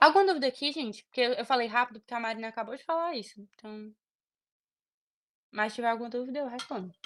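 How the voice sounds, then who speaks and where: A woman talks at a very fast pace and a high pitch, with big swings in loudness. Her speech has long, frequent pauses. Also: ordinary pitch variation. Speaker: medical student tutor. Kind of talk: online tutoring session.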